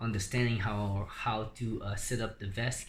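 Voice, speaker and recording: Somewhat breathy and in a monotone, flat intonation, a man of medium pitch speaks with a non-native accent. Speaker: DIY electric skateboard builder. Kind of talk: tutorial. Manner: halting, many fillers.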